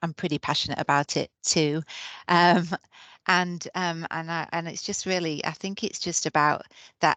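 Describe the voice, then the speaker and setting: Over a quiet background, a woman with a Yorkshire accent speaks in a bright, sharp tone with monotone, flat intonation. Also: dry, close sound with no echo. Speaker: nurse manager. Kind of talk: webinar presentation. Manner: hesitant, many fillers.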